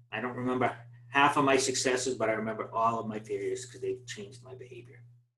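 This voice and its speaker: Speaking at a medium pitch, a man with a Boston accent sounds somewhat breathy. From Boston, US. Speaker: project management trainer. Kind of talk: webinar presentation. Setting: online webinar. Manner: fast.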